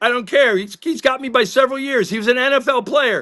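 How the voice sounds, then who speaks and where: Against a quiet background, a man projects a raised voice at an extremely high pitch, bright and sharp in tone and animated. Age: 60s. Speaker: sports talk show co-host. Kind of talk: heated podcast discussion. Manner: animated, with repeated stammers.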